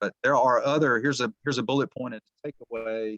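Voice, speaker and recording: The sound is dry and close with no echo as a man speaks at a fairly quick pace with ordinary pitch variation. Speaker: small business lending presenter. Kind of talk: webinar presentation. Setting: video call webinar. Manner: fast.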